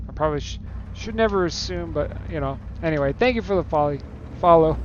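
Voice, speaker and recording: A man mumbles at a very fast pace. Background noise is noticeable. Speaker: gaming streamer. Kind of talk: casual chat. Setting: live stream. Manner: soft-spoken; mumbling.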